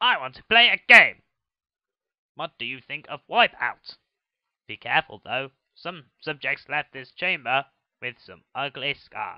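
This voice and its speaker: In a put-on character voice, a man with a fairly high pitch moves at a fairly slow pace, with very wide pitch swings, big swings in loudness and long, frequent pauses. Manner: menacing, playful.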